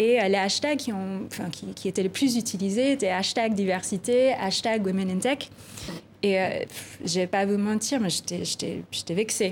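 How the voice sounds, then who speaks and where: A woman at medium pitch with a non-native accent, fairly slow, with ordinary pitch variation. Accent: foreign accent in French. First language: not French (speaking French). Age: 30s. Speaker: tech policy director. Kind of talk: TV interview. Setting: TV studio. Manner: hesitant, many repeated words.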